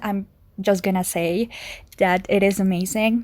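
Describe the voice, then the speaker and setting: In a Spanish accent, a woman talks at a medium pitch with ordinary pitch variation. Her pace is fairly slow. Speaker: video game podcaster. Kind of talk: casual solo podcast summary. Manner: halting, stuttering; laughs often.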